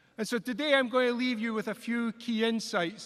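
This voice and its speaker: A man talks at a moderate pace. He has a Scottish accent. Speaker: engineering college dean. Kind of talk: commencement speech.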